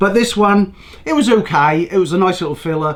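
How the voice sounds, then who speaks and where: A man speaks with an English accent in an animated tone. His intonation is lively and his pace moderate. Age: 60s. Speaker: news commentary show host. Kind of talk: casual opinionated monologue. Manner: rambling, animated.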